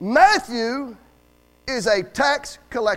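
Extremely high for a man, this animated voice with a Southern US accent swings very widely in pitch on a very clean recording with a silent background. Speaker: Baptist preacher. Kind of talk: sermon. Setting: church. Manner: animated, joking, rousing call-and-response with the congregation.

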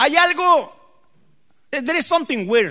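Very slowly, a man speaks in a raised, projected voice with a bright, sharp tone and very wide pitch swings. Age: 50s. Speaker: pastor. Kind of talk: sermon. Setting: church.

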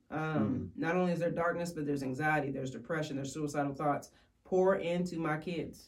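Over noticeable background noise, a woman with a very deep, low pitch talks at a very fast pace with ordinary pitch variation. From Kentucky, Woodford County. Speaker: ministry area representative. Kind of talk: testimony.

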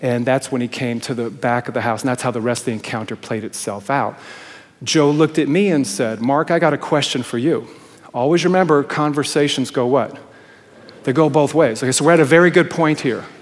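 Fairly quick speech from a man, fairly high in pitch with ordinary pitch variation, amid noticeable background noise. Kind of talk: sermon. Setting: church.

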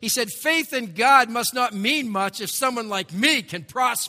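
A man projects his voice in a raised tone at a high pitch, with ordinary pitch variation. He keeps a moderate pace over noticeable background noise. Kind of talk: sermon. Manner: conversational and self-deprecating, with wry humor and storytelling; earnest and emphatic, repeating key phrases for effect.

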